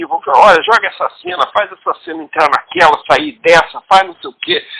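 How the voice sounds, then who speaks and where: The recording sounds dry and close, without any echo. A man is talking fairly quickly. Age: 60s. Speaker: writer and comics scriptwriter. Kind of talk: interview.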